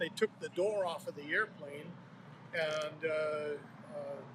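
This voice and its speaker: A man at a fairly slow pace with fairly even intonation, amid noticeable background noise. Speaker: retired smokejumper. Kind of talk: oral history interview. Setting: background construction noise. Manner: matter-of-fact.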